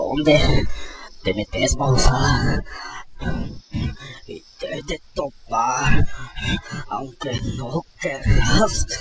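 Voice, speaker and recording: Using a put-on character voice, a man speaks at a very slow pace with long, frequent pauses and big swings in loudness. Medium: read story. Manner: mutters to himself.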